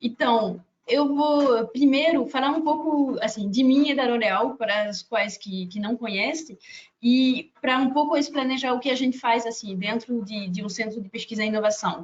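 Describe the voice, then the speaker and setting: A woman speaks with a French accent at a moderate pace. Her pitch is high. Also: ordinary pitch variation. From France. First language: French (speaking Portuguese). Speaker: HR professional. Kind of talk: webinar talk. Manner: halting.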